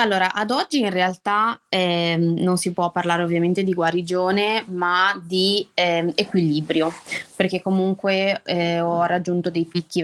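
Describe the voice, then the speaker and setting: Fairly slow delivery with fairly even intonation. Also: woman. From Liguria, Italy (Albenga, province of Savona). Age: 20s. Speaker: school caretaker sharing her illness story. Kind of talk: personal testimony in an interview.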